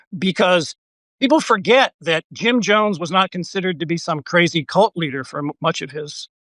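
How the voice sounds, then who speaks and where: A man speaks in a high, bright, sharp tone. The sound is dry and close with no echo over a quiet background. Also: moderate pace. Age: 70s. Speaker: journalist and author. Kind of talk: interview conversation. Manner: halting, many fillers.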